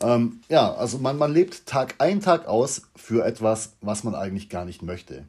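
At a fairly slow pace, a man speaks in a somewhat breathy, medium-pitched voice with very wide pitch swings. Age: 30s. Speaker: podcaster. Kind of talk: casual monologue. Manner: halting.

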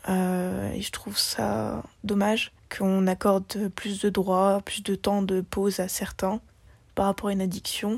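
The speaker is somewhat breathy, with flat, monotone intonation and a very slow pace, on a very clean recording with a silent background. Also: woman, medium pitch for a woman. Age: young. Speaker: interviewee, smoker. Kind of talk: interview testimony.

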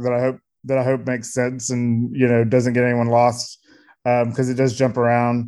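There is a quiet background as a man with medium pitch talks at a fairly quick pace. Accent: American. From US South, Columbia, South Carolina. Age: 40s. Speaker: author. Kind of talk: casual interview. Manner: hesitant with many fillers.

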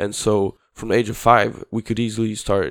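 A man with a Swedish accent at a moderate pace, in a dry, close sound with no echo. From southern Sweden (Skåne). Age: 20s. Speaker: preschool teacher student. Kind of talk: casual chat. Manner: halting.

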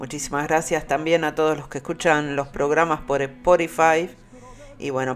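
A man's fairly high, warm voice with a Uruguayan accent, flat and monotone, at a fairly slow pace. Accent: Uruguayan Rioplatense Spanish. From Uruguay, Montevideo. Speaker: radio host. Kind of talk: radio show presenting. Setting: studio. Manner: warm, hesitant with fillers.

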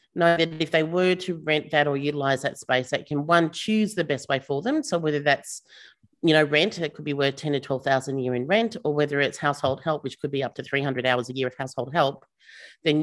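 A woman with an Australian accent speaks at a fairly quick pace in a very deep, low voice with ordinary pitch variation, on a very clean recording with a silent background. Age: 50s. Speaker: startup founder and CEO. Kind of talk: casual interview chat.

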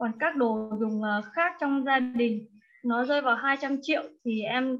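Very slowly, a woman speaks at a high pitch with ordinary pitch variation. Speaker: course participant. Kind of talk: personal sharing in online class. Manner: animated, laughs often.

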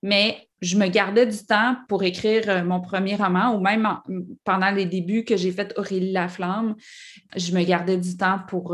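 At a moderate pace, a woman speaks in a normal speaking voice at a medium pitch with fairly even intonation, in a very clean recording with a silent background. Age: 40s. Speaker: author. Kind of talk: interview.

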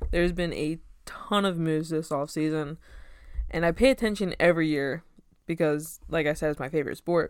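Fairly low for a woman, her voice is an ordinary speaking voice, moving at a fairly quick pace with ordinary pitch variation. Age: 20s. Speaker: sports podcast host. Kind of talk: solo podcast monologue. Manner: casual, conversational.

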